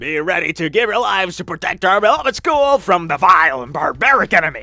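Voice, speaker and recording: A put-on character voice growls at a fairly quick pace with very wide pitch swings. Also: man, high pitch for a man. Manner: commanding, gruff.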